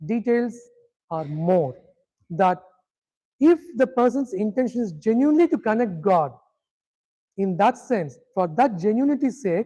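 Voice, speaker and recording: A speaker with a Tamil accent talks at a moderate pace. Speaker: spiritual teacher. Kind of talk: lecture.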